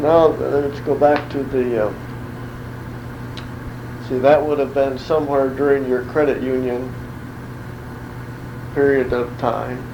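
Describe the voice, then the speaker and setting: A man talks at a fairly slow pace and medium pitch, with long, frequent pauses. His intonation is monotone and flat, and there is noticeable background noise. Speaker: oral history interviewer. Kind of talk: interview questions.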